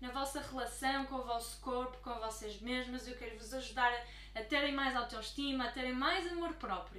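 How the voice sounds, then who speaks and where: Audible room echo surrounds a woman speaking with a European Portuguese accent. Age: 20s. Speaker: life coach. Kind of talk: YouTube talk to camera.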